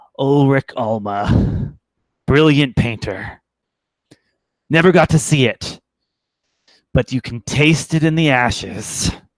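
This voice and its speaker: A man's put-on character voice at medium pitch, fairly slow, with long, frequent pauses. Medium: actual play. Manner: grandiose.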